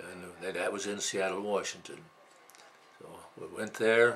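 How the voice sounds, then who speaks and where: Fairly even intonation comes through over light background noise. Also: man. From Wisconsin. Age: 80s+. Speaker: male midwife. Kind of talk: interview answer. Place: home room. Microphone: camera far.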